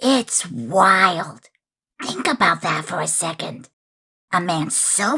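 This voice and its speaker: This is a cartoonish character voice with very wide pitch swings. It moves along at a fairly slow pace. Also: man. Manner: relaxed, wry, conversational.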